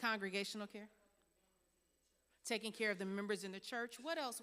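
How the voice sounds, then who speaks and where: A woman speaks very fast in a bright, sharp tone, with big swings in loudness. Long, frequent pauses break up her speech. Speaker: workshop presenter on pastoral care. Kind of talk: interactive workshop lecture. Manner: fast when excited; lively, interactive.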